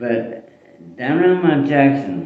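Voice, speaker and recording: The speaker talks with a Western Pennsylvania accent. Pitch varies in an ordinary way. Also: man. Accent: Western Pennsylvania American English. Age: 80s+. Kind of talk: casual family storytelling.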